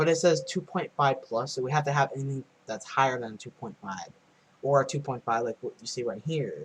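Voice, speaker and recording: Quiet and fairly quick, a man speaks at medium pitch with ordinary pitch variation and big swings in loudness. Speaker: earthquake-watching livestreamer. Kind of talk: casual live stream commentary. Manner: loud and quiet at the same time.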